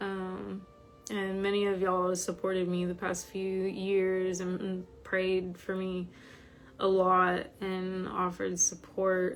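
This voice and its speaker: Music plays behind a woman who speaks very slowly in a monotone, flat intonation, with audible room echo. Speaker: spiritual teacher. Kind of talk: casual chat. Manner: frequent hesitations (um).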